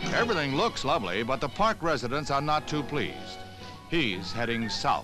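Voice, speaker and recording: Speaking in a playful tone at a medium pitch, a man makes very wide pitch swings at a moderate pace and very even loudness, with music in the background. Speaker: newsreel narrator. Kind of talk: newsreel narration. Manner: light, playful.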